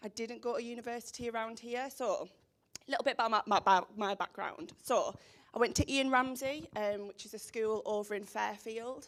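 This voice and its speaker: In a strong Teesside accent, a woman with a fairly high voice speaks at a moderate pace with ordinary pitch variation on a very clean recording with a silent background. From northern England, Teesside (Stockton). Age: 20s. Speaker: social media professional, speaker. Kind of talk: presentation to a school audience. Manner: energetic.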